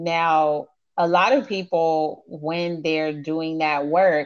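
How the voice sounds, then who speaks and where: A woman's fairly low voice with an American accent, at a very slow pace over a quiet background. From US South, Miami, Florida. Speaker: meditation and life coach. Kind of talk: casual interview chat.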